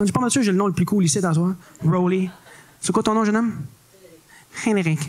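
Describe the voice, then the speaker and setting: A man with a Quebec accent speaks at a high pitch and a fairly quick pace. His pitch varies in an ordinary way, and background noise is noticeable. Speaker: comedian. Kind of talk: stand-up. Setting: stage with audience.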